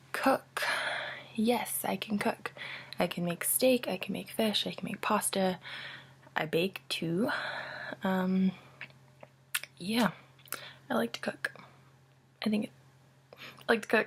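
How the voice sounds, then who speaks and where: Someone whispers at a fairly slow pace with long, frequent pauses over noticeable background noise. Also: woman. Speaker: college student. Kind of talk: casual talk to camera. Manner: whispered.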